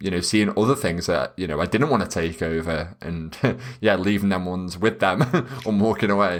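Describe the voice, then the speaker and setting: In a British accent, a man with a very deep, low pitch speaks at a fairly quick pace. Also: ordinary pitch variation. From UK. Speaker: wedding photographer. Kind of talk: podcast interview. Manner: loud, excitable.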